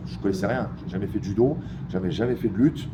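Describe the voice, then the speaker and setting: A man rattles off his words very fast, and the room echo is audible. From Geneva, Switzerland. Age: 40s. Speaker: MMA fighter. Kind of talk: interview. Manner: halting, many hesitations.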